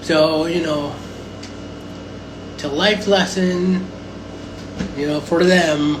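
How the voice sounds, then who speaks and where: The speech has long, frequent pauses. Noticeable background noise runs underneath. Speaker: social media livestreamer. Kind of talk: casual livestream monologue. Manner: hesitant, many fillers; talking loud over fan.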